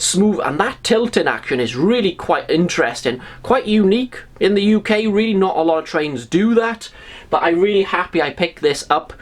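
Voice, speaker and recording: A high-pitched man with a Welsh accent and lively intonation, at a moderate pace and very even loudness. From Wales. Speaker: model railway YouTuber. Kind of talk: casual video review. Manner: conversational, addressing viewers.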